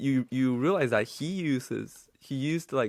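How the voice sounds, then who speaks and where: The speaker talks at a very slow pace in a Chinese accent, with ordinary pitch variation. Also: man. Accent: non-native English, Chinese. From mainland China. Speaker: podcast co-host, developer. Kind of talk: casual chat.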